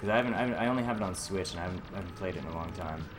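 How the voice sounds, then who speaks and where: A man's very deep, low pitch with ordinary pitch variation, audible room echo and music in the background. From US, Boston. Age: 20s. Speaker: gaming streamer. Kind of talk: live gameplay commentary. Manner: halting, repeats words.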